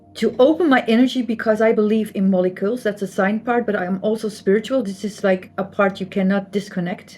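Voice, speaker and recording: A woman with a Flemish accent, medium pitch, fairly even intonation and a fairly quick pace, over music in the background. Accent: Flemish Dutch accent in English. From Belgium (Flanders). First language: Dutch (Flemish). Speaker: artist and spiritual channel host. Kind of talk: casual explanatory talk to camera. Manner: repetitive, emphatic.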